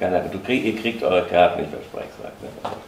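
There is audible room echo and light background noise as a man talks at a very fast pace. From Germany, Hesse. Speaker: former dancer; witness. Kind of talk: interview reminiscence. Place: home room.

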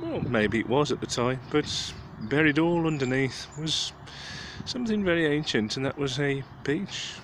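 A man speaks at a moderate pace with long, frequent pauses. The sound is dry with no echo, over light background noise. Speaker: local history vlogger. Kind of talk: casual history commentary. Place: street. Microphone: phone near.

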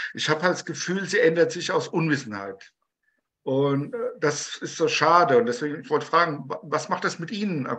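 Speaking at a moderate pace, a man uses a fairly high, bright and sharp voice with lively intonation. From Germany (Taunus, Hesse); Hesse. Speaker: conductor, audience member; audience member. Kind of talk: audience question. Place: home room. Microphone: video call.

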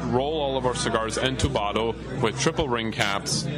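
A man's speech, with ordinary pitch variation, is heard against music in the background. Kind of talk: interview answer. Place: bar.

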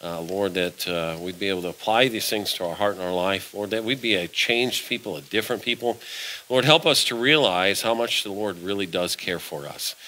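This man has a fairly low pitch and an unremarkable speaking voice. He talks at a fairly quick pace with ordinary pitch variation. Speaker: preacher. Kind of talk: sermon. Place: church.

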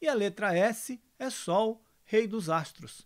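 A man speaks with lively intonation, the background quiet. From Bahia backlands, Brazil. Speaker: spiritist storyteller. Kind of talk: storytelling.

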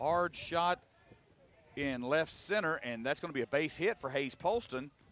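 At a moderate pace, a man talks with a Southern US accent. His intonation is lively. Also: dry, close sound with no echo. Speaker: baseball play-by-play announcer. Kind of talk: live commentary. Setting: outdoors.

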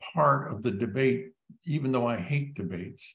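Against a quiet background, a man with vocal fry speaks at a medium pitch, making very wide pitch swings. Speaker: epidemiologist and physician. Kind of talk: panel discussion. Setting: online live web event. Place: home room. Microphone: webcam.

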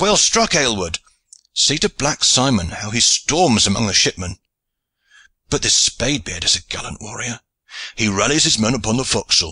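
Putting on a character voice, a man speaks at a moderate pace and medium pitch, his bright, sharp tone carrying a slightly husky edge and big pitch swings.

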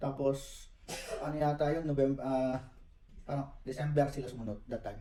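Audible room echo surrounds speech with monotone, flat intonation at a fairly quick pace. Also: man, fairly high pitch for a man. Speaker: project planner, engineer. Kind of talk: interview. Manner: halting.

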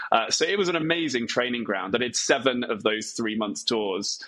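A man is speaking. His pace is fairly quick. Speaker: remote podcast guest, speaking coach. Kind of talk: interview answer. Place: home room. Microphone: earbuds.

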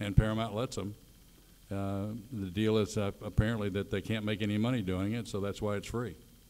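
A man talks at a fairly quick pace. His fairly low voice has monotone, flat intonation. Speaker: guest. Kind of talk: panel Q&A answer. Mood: relaxed, friendly. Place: stage.

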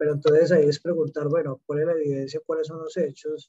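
Somewhat breathy, a man speaks with a fairly high pitch and a dark, mellow tone. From Colombia, Medellín. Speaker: safety professional. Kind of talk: question in online class. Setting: video call.

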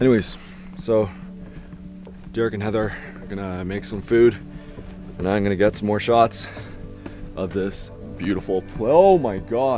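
A man's fairly low voice at a moderate pace, with long, frequent pauses, ordinary pitch variation, clear background music and a dry sound with no echo. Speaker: travel vlogger. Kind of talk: casual vlog chat. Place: open country. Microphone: phone near.

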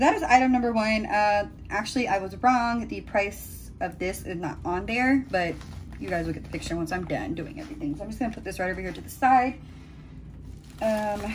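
A woman talks at a fairly quick pace, her loudness swinging widely. Noticeable background noise runs under her voice. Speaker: beauty vlogger. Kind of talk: casual vlog chat. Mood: excited, cheerful. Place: home room. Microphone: phone near.

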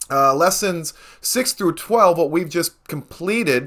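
There is a quiet background as a man speaks with ordinary pitch variation. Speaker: political science video blogger. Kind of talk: lecture. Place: home room.

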